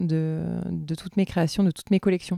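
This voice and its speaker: A woman's dark, mellow tone comes through a dry, close sound with no echo. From southern France, Tarn near Toulouse. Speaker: knitwear designer and entrepreneur. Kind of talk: interview. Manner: halting, many repetitions and fillers.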